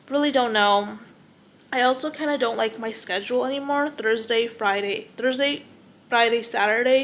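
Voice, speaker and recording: This woman has a fairly high pitch, ordinary pitch variation, and a moderate pace. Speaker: lifestyle vlogger. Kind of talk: casual vlog monologue. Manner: halting, stumbles over words.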